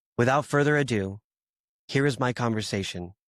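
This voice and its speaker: Recorded very cleanly with a silent background and a dry, close sound with no echo, a man with an American accent talks at a moderate pace with ordinary pitch variation. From US. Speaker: podcast host. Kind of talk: scripted introduction.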